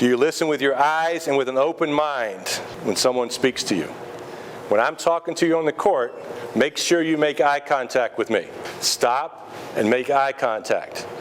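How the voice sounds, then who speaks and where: At a moderate pace, a man with fairly high pitch, ordinary pitch variation and very even loudness talks over noticeable background noise. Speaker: high school basketball coach. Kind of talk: team speech. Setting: restaurant.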